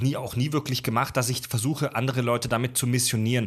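A man talks at a very fast pace. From Baden-Württemberg, near Pforzheim. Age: 30s. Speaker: podcast host, former radio presenter. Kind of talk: casual chat.

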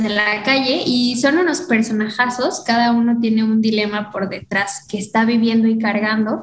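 A woman's fairly high voice at a fairly slow pace, with ordinary pitch variation, very even loudness, hardly any pauses, audible room echo and noticeable background noise. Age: 20s. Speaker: theater student. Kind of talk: casual chat. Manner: animated.

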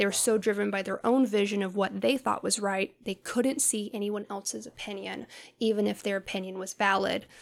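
A woman with an American accent talks at a fairly quick pace in a normal speaking voice, medium in pitch, with fairly even intonation. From US South. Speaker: life coach and business owner. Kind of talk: casual interview.

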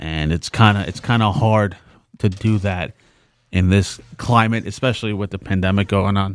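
A man with a New York accent talks at a moderate pace and a fairly low pitch, with fairly even intonation. The recording is very clean, with a silent background. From New York, the Bronx. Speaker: podcast co-host. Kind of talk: casual chat.

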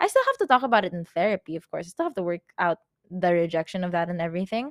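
Someone with a Filipino accent talks at a very fast pace in an animated tone, the sound dry and close with no echo on a very clean recording with a silent background. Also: woman. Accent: Filipino English, code-switching with Tagalog. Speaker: podcaster. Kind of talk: pep talk, self-directed motivational monologue. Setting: recorded at home on a yoga mat. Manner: animated, emphatic, fiery, hyping herself up with swearing and repetition; casual, chatty, like a friend on a call.

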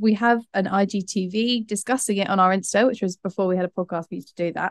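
Over a quiet background, a woman with an unremarkable speaking voice talks at medium pitch with fairly even intonation. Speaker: podcast host. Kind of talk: casual chat.

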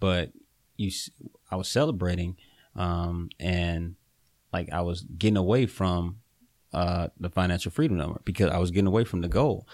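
A man speaks in a very deep, low voice with a Southern US accent and ordinary pitch variation, recorded very cleanly against a silent background. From eastern North Carolina. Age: 20s. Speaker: real estate investor. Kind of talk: casual interview.

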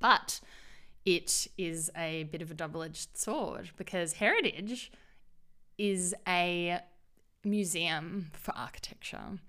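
Very slowly and with long, frequent pauses, a woman with an Australian accent speaks at a fairly low pitch, her intonation fairly even and her tone bright and sharp. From Australia, Perth. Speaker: business consultant and urbanism advocate. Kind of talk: interview. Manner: hesitant, many fillers.

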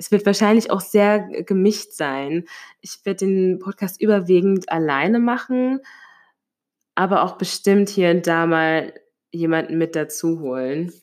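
At a fairly slow pace with long, frequent pauses, a woman speaks at a medium pitch with ordinary pitch variation, on a very clean recording with a silent background. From Hesse, Germany (near Limburg an der Lahn). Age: 20s. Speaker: podcaster. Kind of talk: solo podcast monologue. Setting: home, sitting on living room floor.

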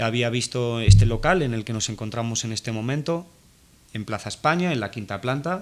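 Here is a man with an ordinary speaking voice at medium pitch. He keeps a moderate pace and ordinary pitch variation. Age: 30s. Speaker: photo retoucher, studio owner. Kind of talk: interview. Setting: guest's studio office.

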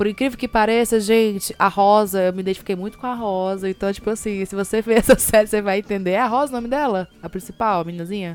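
Talking very fast with hardly any pauses, a woman with a Fortaleza accent holds a medium pitch and fairly even intonation. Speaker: podcast co-host. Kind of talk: casual chat.

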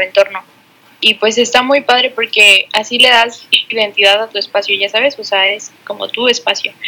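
At a moderate pace, the speaker keeps a fairly even intonation against noticeable background noise. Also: woman. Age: 20s. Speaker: podcast co-host, architecture student. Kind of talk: casual chat. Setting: recording from home.

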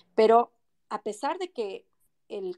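Her dark, mellow tone comes across in a dry, close sound with no echo. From Ecuador, Quito (moved there at six; family from Loja). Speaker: lawyer and mayoral pre-candidate. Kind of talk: political interview. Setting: online audio room.

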